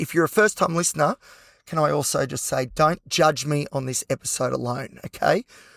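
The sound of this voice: In a put-on character voice, a man speaks at a fairly quick pace with a fairly high pitch that sounds raspy, hoarse and croaky. The recording is very clean and dry, close with no echo, over a silent background.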